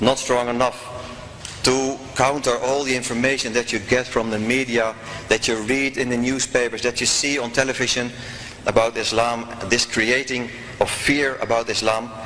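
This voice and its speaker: Monotone, flat intonation in a Dutch accent at a moderate pace, over noticeable background noise. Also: man, medium pitch for a man. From Netherlands. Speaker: former politician, convert. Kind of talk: testimony.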